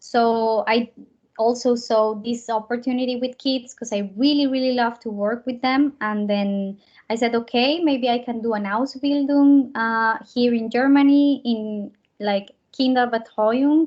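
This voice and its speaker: With fairly even intonation, a woman talks at a fairly slow pace in a high pitch. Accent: Spanish. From Colombia. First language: Spanish. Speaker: au pair and actress. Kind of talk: interview.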